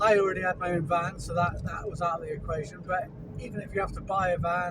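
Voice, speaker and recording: A man talks at a very fast pace in a high pitch, his intonation monotone and flat. Noticeable background noise and audible room echo surround him. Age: 40s. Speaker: handyman and gardener. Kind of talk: casual vlog monologue. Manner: halting, with stutters and fillers.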